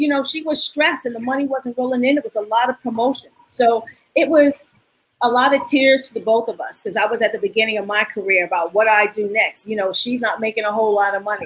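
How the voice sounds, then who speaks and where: At a very fast pace, a woman with a New York accent talks in a fairly high pitch with ordinary pitch variation. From New York (Queens). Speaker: dance choreographer. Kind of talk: interview. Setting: video call.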